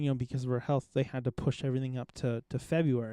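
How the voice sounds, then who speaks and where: Recorded dry and close with no echo over a quiet background, a man with an ordinary speaking voice talks at a medium pitch and a fairly quick pace. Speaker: podcast host. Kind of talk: casual conversation. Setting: outdoors.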